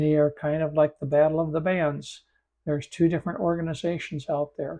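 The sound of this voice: A man speaks at a moderate pace, his croaky voice fairly high-pitched with a dark, mellow tone. There is little pitch movement.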